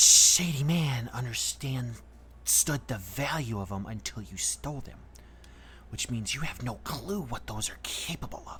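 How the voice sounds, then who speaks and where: A put-on character voice in a low-to-middle pitch, with clear background noise. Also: moderate pace. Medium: actual play. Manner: measured, knowing.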